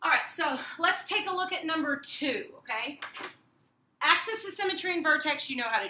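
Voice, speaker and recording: With audible room echo, a woman projects a raised voice at a fairly quick pace. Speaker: math teacher. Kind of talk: tutorial. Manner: fast. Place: classroom. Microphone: camera far.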